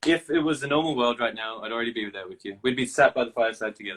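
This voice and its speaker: A man with a medium pitch talks at a very fast pace, his pitch varying in an ordinary way. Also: big swings in loudness. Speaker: singer-songwriter. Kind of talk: casual chat. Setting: video call.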